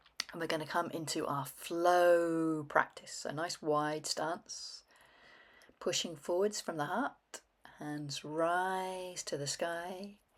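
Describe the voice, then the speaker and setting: A woman speaks very slowly in a calm tone, her fairly low voice keeping a fairly even intonation on a very clean recording with a silent background. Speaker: qigong instructor. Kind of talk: guided movement practice. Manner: calm, paced with breath.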